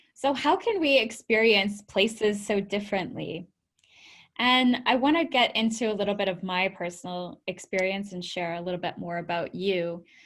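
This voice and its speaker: Here is a woman with an unremarkable speaking voice and a Canadian accent. She talks at a medium pitch and a moderate pace. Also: ordinary pitch variation. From Canada, Vancouver. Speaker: tech entrepreneur and founder. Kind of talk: webinar presentation.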